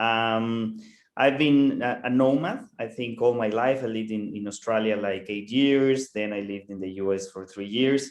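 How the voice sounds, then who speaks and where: A man speaks at a moderate pace in a Mexican accent, his pitch medium and his intonation fairly even. His loudness swings widely. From Mexico. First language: Spanish. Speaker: co-host. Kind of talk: online networking session. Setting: video call. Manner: halting, repeats words.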